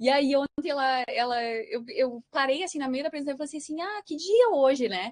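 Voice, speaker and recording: A woman talks at a fairly quick pace with hardly any pauses. Her high pitch, lively intonation and big swings in loudness stand out. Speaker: researcher. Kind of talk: lecture. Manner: halting.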